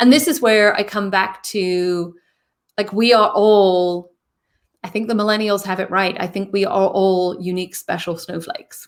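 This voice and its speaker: With ordinary pitch variation, a woman's medium-pitched voice moves at a moderate pace. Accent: British. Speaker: interview guest, speaker. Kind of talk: casual interview chat.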